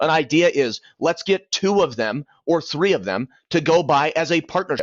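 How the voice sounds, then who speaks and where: This man's voice sits fairly high in pitch. His intonation shows ordinary variation. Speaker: mortgage loan officer. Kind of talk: business talk to realtors, to camera. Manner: fast.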